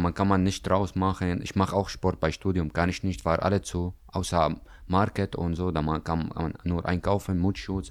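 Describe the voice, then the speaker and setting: In an Arabic accent, a man with a very deep, low pitch talks at a moderate pace on a very clean recording with a silent background. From Syria. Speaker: trainee in gastronomy. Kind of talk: interview. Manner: halting.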